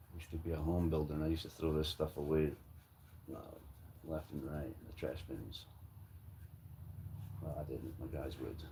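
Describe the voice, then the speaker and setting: With an American accent, a man talks in a very deep, low pitch and a dark, mellow tone, his relaxed delivery monotone and flat, marked by vocal fry and long, frequent pauses. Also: fairly quick pace. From Scotland. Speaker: woodworking livestreamer, former home builder. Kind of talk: casual livestream chat while painting. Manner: relaxed, joking.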